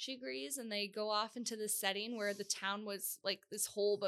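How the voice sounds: This natural reading voice keeps its intonation fairly even throughout.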